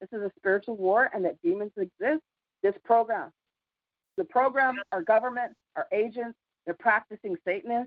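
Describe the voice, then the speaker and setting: Delivered at a fairly quick pace with lively intonation, this is a plain, everyday voice. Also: woman. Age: 50s. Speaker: community call participant. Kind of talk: casual chat.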